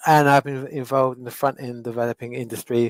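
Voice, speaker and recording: A medium-pitched man with a London accent and fairly even intonation, in a dry, close sound with no echo. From London, England. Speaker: web development instructor. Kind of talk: webinar presentation. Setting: online webinar.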